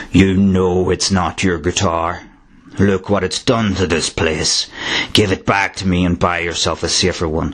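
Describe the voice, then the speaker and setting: In a put-on character voice, a man speaks at a very deep, low pitch. His delivery is booming. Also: moderate pace. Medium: read story. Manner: smug, mocking.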